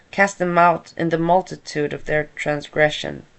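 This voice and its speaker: A woman with a Swedish accent speaks in a very deep, low voice at a moderate pace, her intonation flat and monotone. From Sweden. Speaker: content creator reading psalms. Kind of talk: reading scripture aloud. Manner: halting.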